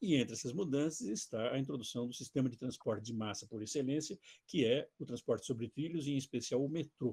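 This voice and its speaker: A man speaks at a medium pitch with ordinary pitch variation and a dark, mellow tone. The sound is dry and close, with no echo. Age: 70s. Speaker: retired architecture and urbanism professor. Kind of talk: lecture; reading aloud his own written text.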